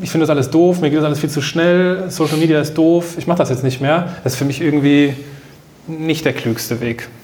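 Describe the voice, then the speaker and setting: A man talks with fairly even intonation. Noticeable background noise and audible room echo are in the recording. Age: 30s. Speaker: new work consultant, podcaster and author. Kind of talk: casual interview conversation.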